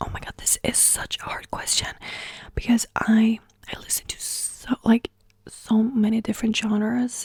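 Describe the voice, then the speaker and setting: At a moderate pace, a woman is whispering, with a dry, close sound and no echo. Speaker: ASMR creator. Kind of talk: casual talk to camera, Q&A. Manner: soft-spoken, friendly, rambling.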